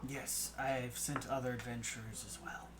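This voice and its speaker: Over loud background noise, a man speaks in a raspy put-on character voice at a moderate pace. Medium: actual play.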